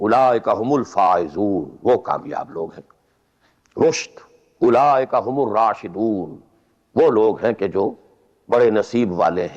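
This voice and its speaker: A man's medium-pitched voice, an ordinary speaking voice, with lively intonation and a quiet background. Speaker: Islamic scholar giving a religious lecture. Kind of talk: religious lecture (bayan). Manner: explanatory, lecturing.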